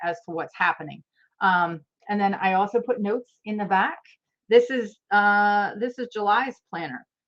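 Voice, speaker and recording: A woman speaks at a fairly slow pace in a plain, everyday voice. Her pitch shows ordinary variation. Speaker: planner creator and coach. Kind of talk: tutorial.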